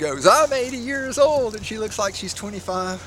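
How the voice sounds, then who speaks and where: Noticeable background noise sits under this recording. A man talks at a fairly quick pace with lively intonation. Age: 60s. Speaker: fruit grower. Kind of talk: casual walkthrough tutorial. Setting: outdoors. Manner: halting, many fillers.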